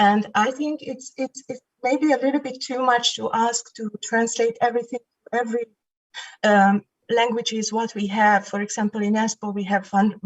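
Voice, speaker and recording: With a non-native accent, a woman speaks at a moderate pace and fairly high pitch, keeping her intonation fairly even. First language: not Finnish. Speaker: municipal election candidate. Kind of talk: online election debate. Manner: hesitant, with fillers.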